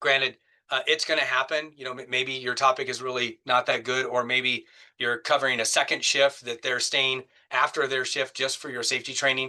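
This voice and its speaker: A man talks at a fairly quick pace in a medium pitch, his bright, sharp tone held to a monotone, flat intonation. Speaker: safety professional giving a public speaking talk. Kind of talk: webinar presentation. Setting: online webinar. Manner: fast.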